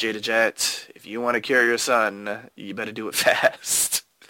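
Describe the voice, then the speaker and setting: A man does a put-on character voice that is raspy, at a medium pitch. He keeps a moderate pace with monotone, flat intonation. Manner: threatening.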